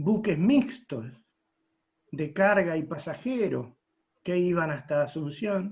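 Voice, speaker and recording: A high-pitched man's very slow speech with lively intonation, long, frequent pauses and audible room echo. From Argentina, Rosario (Santa Fe). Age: 80s+. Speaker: retired merchant navy officer. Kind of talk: audience question at online conference.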